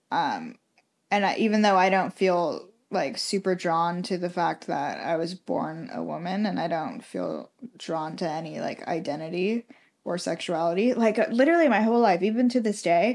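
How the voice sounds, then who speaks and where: A woman at medium pitch in an unremarkable speaking voice, with lively intonation at a moderate pace, on a very clean recording with a silent background. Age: 20s. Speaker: podcast co-host. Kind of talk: casual chat.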